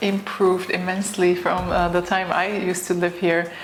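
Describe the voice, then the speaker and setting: A woman's medium-pitched voice comes through noticeable background noise, with the room's echo clearly audible. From Bulgaria. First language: Bulgarian. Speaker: astrophysicist. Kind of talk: interview. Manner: hesitant, many fillers.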